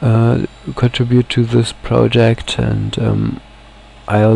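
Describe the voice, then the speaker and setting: A man speaks over noticeable background noise. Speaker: software project founder. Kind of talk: screencast presentation. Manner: halting, many fillers.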